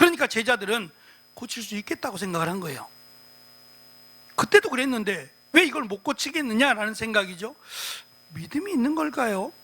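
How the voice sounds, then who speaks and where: Over noticeable background noise, a man's raised, projected voice at an extremely high pitch runs at a fairly quick pace, with very wide pitch swings and long, frequent pauses. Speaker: pastor. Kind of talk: sermon. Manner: fast.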